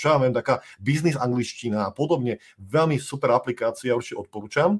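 Ordinary pitch variation runs through the speech, captured in a very clean recording with a silent background. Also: man. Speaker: podcast host. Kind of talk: live-streamed interview.

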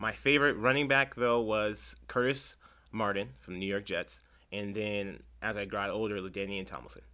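A man with an American accent talks at a moderate pace and fairly low pitch, with ordinary pitch variation and a bright, sharp tone. The recording is very clean, with a silent background. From San Diego, California (Chula Vista). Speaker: public defender. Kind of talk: casual interview.

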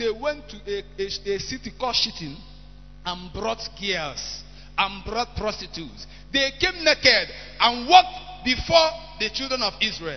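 A speaker with a Nigerian accent talks at a fairly slow pace with very wide pitch swings. Noticeable background noise is present. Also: man, high pitch for a man. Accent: Nigerian Igbo English. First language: Igbo. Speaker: preacher. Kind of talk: sermon.

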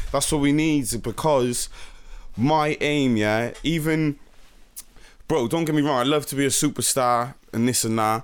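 This man has an ordinary speaking voice, fairly high in pitch for a man, with fairly even intonation. He talks at a fairly slow pace on a very clean recording with a silent background. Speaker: rapper, nominated artist.

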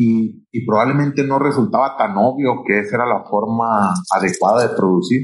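A man at a moderate pace and medium pitch, with ordinary pitch variation and hardly any pauses. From Mexico, Sinaloa (Culiacán). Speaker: irrigation company executive. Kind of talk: interview. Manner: halting, frequent fillers and repetitions.

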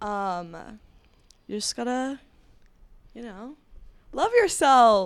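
Speaking very slowly with long, frequent pauses, a woman uses lively intonation at a fairly high pitch. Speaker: engineering student, club officer. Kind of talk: casual chat.

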